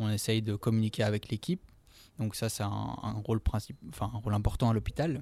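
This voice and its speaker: Speaking at a fairly quick pace, a man with a fairly low pitch and a dark, mellow, somewhat breathy tone is heard on a very clean recording with a silent background. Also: ordinary pitch variation. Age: 20s. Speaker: physiotherapist. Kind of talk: interview. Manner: halting, many fillers.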